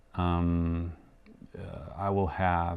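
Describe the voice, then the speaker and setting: This is a man speaking. He has a German accent. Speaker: yo-yo show host. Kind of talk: live show monologue. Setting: home studio live stream. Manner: hesitant, many fillers.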